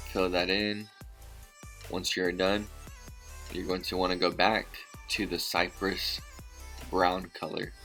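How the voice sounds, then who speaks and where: Over music in the background, a man with a very deep, low pitch speaks in a monotone, flat delivery at a fairly slow pace, with long, frequent pauses. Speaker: husband doing voiceover. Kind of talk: humorous makeup tutorial voiceover.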